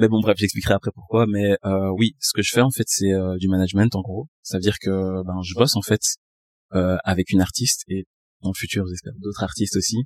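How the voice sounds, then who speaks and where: A man talks at a fairly quick pace with fairly low pitch and fairly even intonation. The sound is dry and close, with no echo. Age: 20s. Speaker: music artist manager. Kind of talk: casual chat. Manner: articulate, polished speech.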